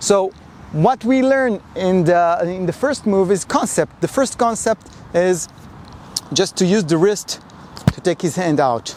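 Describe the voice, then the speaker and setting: A fairly slow pace in a non-native accent, lively intonation and very even loudness over noticeable background noise. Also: man, high pitch for a man. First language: not English. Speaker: karate instructor. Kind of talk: tutorial. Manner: halting.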